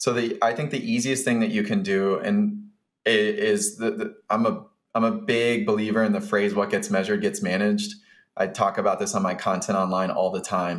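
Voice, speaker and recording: Speaking at a moderate pace, a man has an American accent. His loudness stays very even. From Atlanta, US South; Georgia. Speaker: software founder, former freight broker; podcast guest. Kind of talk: interview, business talk. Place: home room. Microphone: studio mic.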